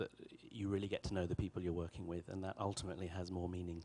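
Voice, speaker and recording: A man with an English accent, very deep, low pitch and monotone, flat intonation. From England. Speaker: orchestra conductor. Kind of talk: interview. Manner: articulate, measured.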